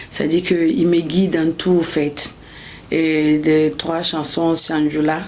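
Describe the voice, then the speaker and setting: In a Burkinabe accent, a woman with a very deep, low pitch speaks at a very slow pace with monotone, flat intonation, amid audible room echo and noticeable background noise. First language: Bobo (speaking French). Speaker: gospel singer. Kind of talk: interview. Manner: halting.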